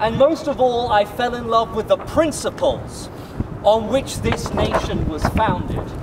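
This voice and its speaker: A man speaks with a British accent at a moderate pace. Noticeable background noise runs behind him. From England. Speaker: activist speaker. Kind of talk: protest speech. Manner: animated.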